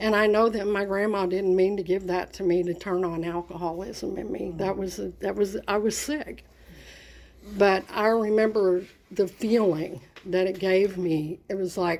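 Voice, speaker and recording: Her pitch medium and her intonation fairly even, a woman speaks at a moderate pace. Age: 60s. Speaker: recovering alcoholic sharing her story. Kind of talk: testimony. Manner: halting, with many fillers.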